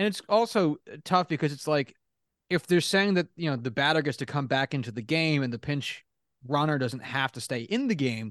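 With a normal speaking voice, a man talks at a moderate pace and a fairly high pitch, his intonation lively, in a dry, close sound with no echo over a quiet background. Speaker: sports podcast co-host. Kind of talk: casual chat.

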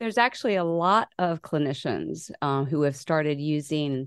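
A woman's normal speaking voice at a moderate pace with ordinary pitch variation against a quiet background. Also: dry, close sound with no echo. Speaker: person living with dissociative identity disorder. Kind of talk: personal testimony in interview.

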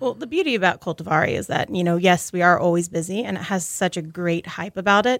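A woman's fairly low voice in an American accent at a very fast pace. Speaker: restaurant manager. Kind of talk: casual interview. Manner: animated.

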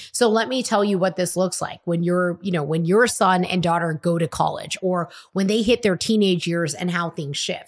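Animated in tone, a woman speaks at a moderate pace in a medium pitch with ordinary pitch variation. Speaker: podcast host and entrepreneur. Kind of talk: pep talk. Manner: motivational, emphatic.

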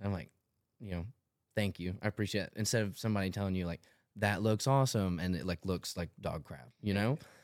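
A very fast-talking man with a Tennessee accent, fairly low pitch, ordinary pitch variation, and a very clean recording with a silent background. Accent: Southern US (Tennessee). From Tennessee, Tullahoma. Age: 20s. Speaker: clothing brand founder. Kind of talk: casual chat.

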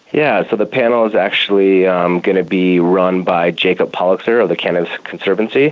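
A man speaks at a fairly quick pace with a very deep, low pitch. His pitch varies in an ordinary way, and his loudness stays very even. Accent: American. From Colorado, Denver. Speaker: cannabis grow operations director. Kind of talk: interview. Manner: halting, many fillers.

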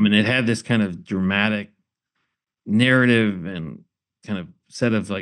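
This man has a plain, everyday voice with a fairly low pitch. He speaks at a moderate pace with ordinary pitch variation. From Michigan. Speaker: history professor and author. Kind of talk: interview.

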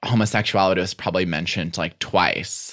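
In a very clean recording with a silent background, a man with an American accent speaks at a very deep, low pitch in a bright, sharp tone marked by vocal fry. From US Midwest, Chicago area. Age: 20s. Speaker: writer and podcaster. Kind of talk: casual chat.

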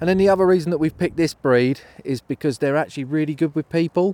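Speaking at a fairly quick pace, a man with a southeast English accent has a dark, mellow tone. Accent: south-east English. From southern England, near London. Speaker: falconer. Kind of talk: casual interview on location.

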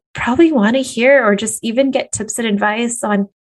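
This woman has a plain, everyday voice at a fairly high pitch. She keeps a moderate pace with ordinary pitch variation. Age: 30s. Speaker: business and career coach, podcast host. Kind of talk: solo podcast monologue, motivational coaching.

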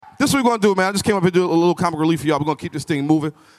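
Crowd noise runs behind a man speaking at a high pitch. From New York, Brooklyn. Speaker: comedian. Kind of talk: warm-up hype and stand-up storytelling. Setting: stage with live audience. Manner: loud, crowd-pumping hype man.

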